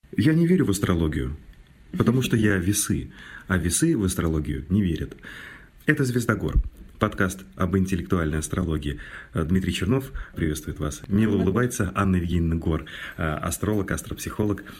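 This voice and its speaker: With a very deep, low pitch and a somewhat breathy sound, a man speaks at a moderate pace with lively intonation and long, frequent pauses. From Mordovia, Russia. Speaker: radio host. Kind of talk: casual chat.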